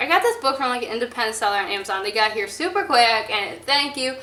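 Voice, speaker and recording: In a raised, projected voice, a woman speaks at a high pitch with an animated tone. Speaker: book vlogger. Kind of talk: casual vlog talk. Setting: public place with passers-by. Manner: loud.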